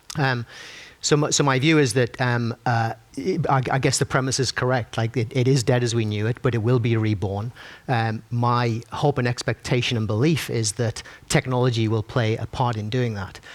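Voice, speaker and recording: A man with a Sunderland accent speaks at a moderate pace, keeping his intonation fairly even. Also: medium pitch for a man. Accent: Sunderland (Mackem). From northern England, Sunderland. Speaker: tech company executive, panelist. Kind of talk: panel discussion. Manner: halting, many fillers and restarts.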